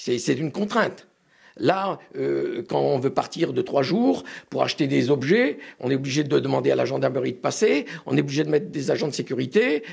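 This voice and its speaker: A man talks at a moderate speed. Behind him, all is quiet. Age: 60s. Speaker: collector. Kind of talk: interview. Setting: at home. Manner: hesitant.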